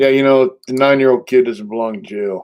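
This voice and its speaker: Intonation stays fairly even as a man talks in an American accent. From San Diego, California. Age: 60s. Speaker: livestream host. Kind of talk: casual livestream chat.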